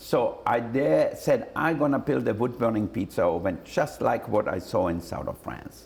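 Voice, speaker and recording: In an Austrian accent, the speech runs at a moderate pace with hardly any pauses. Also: man. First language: German. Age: 60s. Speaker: celebrity chef and restaurateur. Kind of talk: interview answer.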